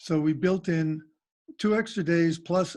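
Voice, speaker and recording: This man's voice sits fairly high. He speaks fairly slowly with fairly even intonation. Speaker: school board member reporting on teacher contract negotiations. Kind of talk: meeting report. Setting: video call, audio only.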